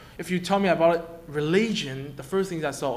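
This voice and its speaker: A man talks with ordinary pitch variation, and room echo is audible around him. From China, Shanghai. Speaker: international student. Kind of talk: testimony. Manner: halting, many repetitions and fillers.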